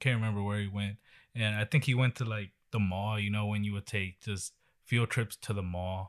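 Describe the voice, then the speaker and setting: A man with an American accent talks at a fairly quick pace, his pitch fairly low and his intonation fairly even. The sound is dry and close with no echo, a very clean recording over a silent background. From Texas. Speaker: podcast host. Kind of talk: casual chat.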